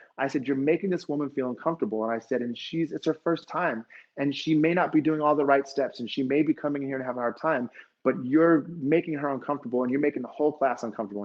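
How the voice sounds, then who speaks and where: Very fast and animated, a man speaks at a fairly high pitch with ordinary pitch variation. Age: 40s. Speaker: fitness instructor. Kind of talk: motivational talk.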